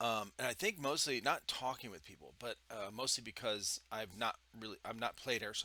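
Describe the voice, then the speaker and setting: A man speaks loud at a medium pitch. His pace is moderate and his pitch variation ordinary. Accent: American. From Ohio. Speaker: podcast host, military veteran. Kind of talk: casual chat. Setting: home studio with foam panels.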